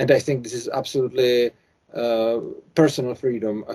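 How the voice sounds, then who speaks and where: A man's dark, mellow voice at medium pitch, with a Czech accent. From Czech Republic. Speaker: YouTuber, anarcho-capitalist commentator. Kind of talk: interview conversation. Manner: halting, hesitant English.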